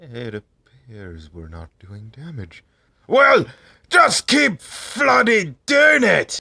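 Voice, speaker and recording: Very slow pace marks this speech. A man uses a put-on character voice. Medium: audio drama. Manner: brash, swearing.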